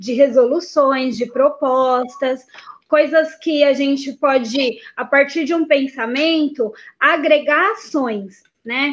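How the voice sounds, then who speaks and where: In a São Paulo accent, a woman speaks at a very slow pace. Her pitch is high, with ordinary variation. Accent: São Paulo Brazilian Portuguese. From São Paulo ABC region, Brazil. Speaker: singer and music teacher. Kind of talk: online panel debate.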